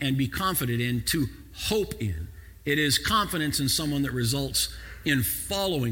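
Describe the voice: Someone reads aloud plainly. Their intonation is lively.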